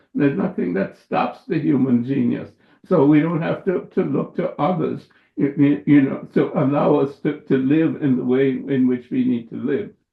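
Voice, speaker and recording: With lively intonation and some vocal fry, a man speaks at a moderate pace in a fairly high pitch. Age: 80s+. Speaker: surgeon and professor. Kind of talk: interview. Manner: halting.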